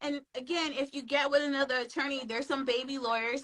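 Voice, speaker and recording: A woman talks at a fairly quick pace in a bright, sharp tone, her pitch varying in an ordinary way. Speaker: trademark attorney. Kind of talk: live interview. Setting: Instagram live stream.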